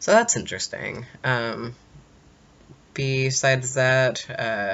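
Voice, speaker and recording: At a very slow pace, a man talks at medium pitch with fairly even intonation. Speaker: vlogger. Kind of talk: video diary. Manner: halting, many fillers.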